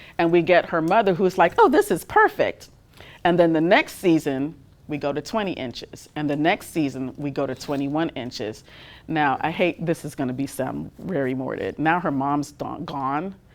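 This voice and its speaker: Moderate-paced speech with a slight Trinidadian accent and ordinary pitch variation. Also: woman, very deep, low pitch for a woman. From Trinidad and Tobago. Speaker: fashion industry manager and designer. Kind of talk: guest talk and Q&A.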